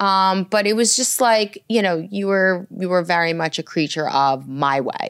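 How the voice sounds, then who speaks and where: A woman with a New York accent speaks fairly slowly at a medium pitch, with hardly any pauses. Her pitch variation is ordinary. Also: very clean recording, silent background. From New York (Brooklyn, Long Island). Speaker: commercial real estate lawyer. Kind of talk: casual chat.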